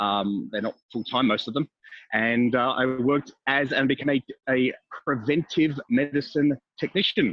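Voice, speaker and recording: Here a man speaks with an Australian accent. His pace is moderate and his pitch varies in an ordinary way. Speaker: business consultant living abroad. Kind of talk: podcast interview. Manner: calm, steady; hesitant, many fillers.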